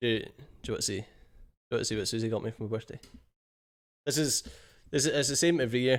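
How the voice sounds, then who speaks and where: A man's medium-pitched voice in a Scottish accent, with an animated tone. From Scotland. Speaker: gaming streamer. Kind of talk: live stream chat. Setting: home office. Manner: casual, animated.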